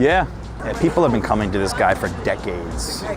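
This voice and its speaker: A man at a fairly quick pace, with music in the background. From New Jersey. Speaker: food vlogger. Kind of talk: vlog narration. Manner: enthusiastic.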